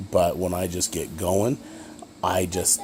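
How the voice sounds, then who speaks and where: Over noticeable background noise, a man with an American accent speaks in a very deep, low voice. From Utah, Ogden area. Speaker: college student. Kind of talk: self-introduction video. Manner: fast; halting with many fillers.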